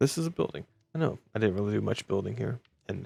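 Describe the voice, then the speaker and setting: Over music in the background, a man talks quietly at a very fast pace in a fairly low pitch, with a dry, close sound and no echo. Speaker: gaming youtuber. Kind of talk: casual gameplay commentary. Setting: home recording at night. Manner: quiet, subdued volume.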